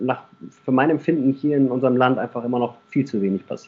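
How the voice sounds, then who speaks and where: This man's voice sits at a fairly high pitch, and his intonation is fairly even. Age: 30s. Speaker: local mayoral candidate and police officer. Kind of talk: interview. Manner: hesitant with frequent fillers.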